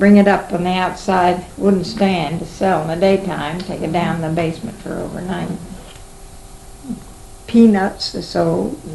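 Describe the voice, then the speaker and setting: A woman with an American accent at a moderate pace, against noticeable background noise. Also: fairly even intonation. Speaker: oral history interviewee. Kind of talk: interview answer. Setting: home recording, 1970s tape.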